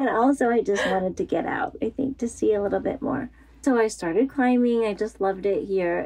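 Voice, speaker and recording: With an American accent, a woman uses an ordinary speaking voice, fairly high in pitch, with lively intonation at a fairly quick pace. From US suburbs. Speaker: runner and outdoor gear designer. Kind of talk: interview. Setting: at home, in kids' room.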